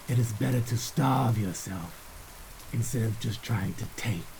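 A man's solemn voice at medium pitch, moderate pace and ordinary pitch variation, with noticeable background noise. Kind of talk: epic fantasy audio drama narration, in-character address to a young pupil. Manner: solemn, formal, measured, gravely admonishing.

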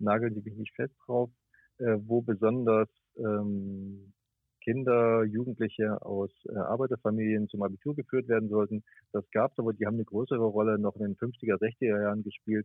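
A man with an unremarkable speaking voice talks at a moderate pace and medium pitch, with fairly even intonation. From Thuringia, eastern Germany. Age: 50s. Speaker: radio journalist. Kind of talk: interview. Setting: phone call.

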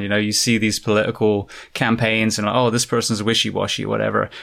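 A man talks at a fairly quick pace with an English accent and a medium pitch. The recording is very clean, with a silent background. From England. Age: 40s. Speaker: podcast host and firefighter. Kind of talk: casual interview.

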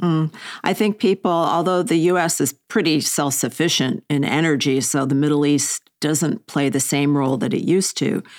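A woman with a very deep, low pitch talks at a moderate pace with hardly any pauses. Her loudness stays very even, her pitch varies in an ordinary way, and the sound is dry and close with no echo. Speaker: podcast host and editor. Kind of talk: interview. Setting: remote call.

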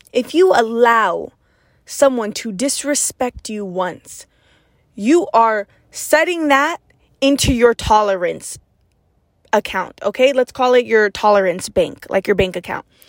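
At a fairly slow pace with long, frequent pauses, a woman speaks in an energetic, animated tone, the sound dry and close with no echo. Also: fairly high pitch for a woman, lively intonation. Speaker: podcast host, motivational speaker. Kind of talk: motivational monologue. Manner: loud.

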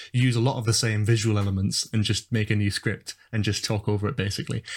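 At a fairly quick pace, the speech comes out somewhat breathy. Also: man. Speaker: YouTuber, university student. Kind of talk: casual chat. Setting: online call.

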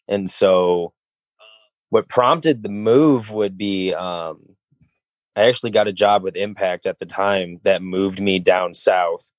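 Fairly slow and fairly low-pitched, a man speaks with ordinary pitch variation. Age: 20s. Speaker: professional wrestler. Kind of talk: casual interview. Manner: halting, repeats words.

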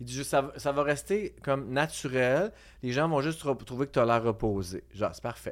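An ordinary speaking voice, a man with a fairly high pitch speaks at a moderate pace with lively intonation on a very clean recording with a silent background. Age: 40s. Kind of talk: casual chat. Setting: studio.

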